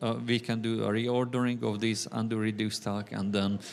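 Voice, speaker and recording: A man with a Hungarian accent talks at a medium pitch with fairly even intonation. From Hungary. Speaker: software developer. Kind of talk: conference talk. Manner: frequent fillers, hesitant.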